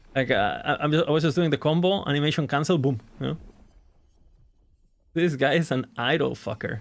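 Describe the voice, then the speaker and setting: A fairly high-pitched man with vocal fry talks at a fairly quick pace, broken by long, frequent pauses. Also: ordinary pitch variation. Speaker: gaming streamer. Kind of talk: live stream chat. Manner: animated.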